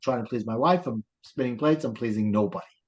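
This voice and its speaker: Speaking fairly quickly, a man talks with a New York accent. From New York, Brooklyn. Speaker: life coach. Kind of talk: interview.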